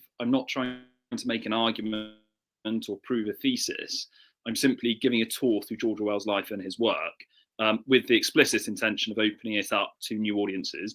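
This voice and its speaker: A man with an English accent talks at a very fast pace, with big swings in loudness. The recording is very clean, with a silent background. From southern England. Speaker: author and historian. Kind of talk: interview. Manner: halting.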